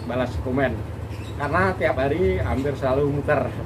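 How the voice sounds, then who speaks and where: A man talks with ordinary pitch variation. Noticeable background noise can be heard. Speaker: YouTuber plant-shop visitor. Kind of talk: pitchman-style plant promo, rapid price haggling and hype over rare aglonema. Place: garden. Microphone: camera far.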